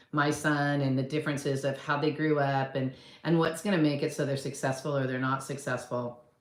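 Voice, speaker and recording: A woman talks at a moderate pace with a very deep, low pitch. Room echo is audible around her voice. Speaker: real estate coach and agent. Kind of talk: casual talk to camera. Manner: conversational, rambling with fillers.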